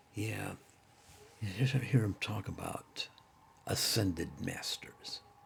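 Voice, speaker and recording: Noticeable background noise runs beneath a man's fairly low voice. He speaks at a very slow pace with long, frequent pauses. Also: ordinary pitch variation. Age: 80s+. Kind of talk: casual monologue. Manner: halting, many fillers.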